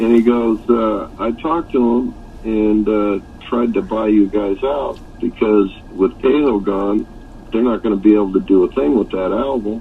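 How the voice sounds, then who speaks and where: A man speaks at a fairly low pitch with ordinary pitch variation over noticeable background noise. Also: moderate pace. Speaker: rock singer, real estate developer. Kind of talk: interview answer.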